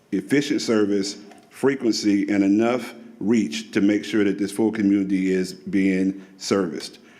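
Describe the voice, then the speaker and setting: A man's fairly low pitch, a plain, everyday voice, ordinary pitch variation and a moderate pace. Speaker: public commenter at transit meeting. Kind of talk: public comment. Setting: public meeting.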